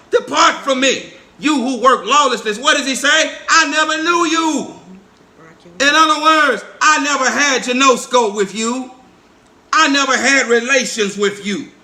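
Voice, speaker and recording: A raised, projected voice with ordinary pitch variation comes at a fairly slow pace through audible room echo. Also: man, extremely high pitch for a man. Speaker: preacher. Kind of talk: sermon.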